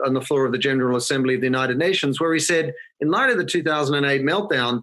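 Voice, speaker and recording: Fairly high in pitch, a man talks in an Australian accent. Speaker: marketing consultancy founder. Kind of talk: podcast interview. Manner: conversational.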